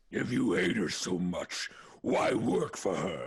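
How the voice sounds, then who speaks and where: Putting on a character voice, a man growls at a fairly low pitch and a fairly slow pace. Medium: audio drama. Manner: aggrieved, emotional.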